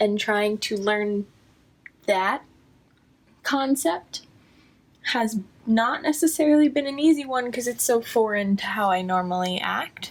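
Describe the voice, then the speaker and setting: A woman speaks at a fairly slow pace in a fairly high voice, with lively intonation and long, frequent pauses. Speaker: vlogger. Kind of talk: personal vlog monologue. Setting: at home. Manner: halting, self-interrupting.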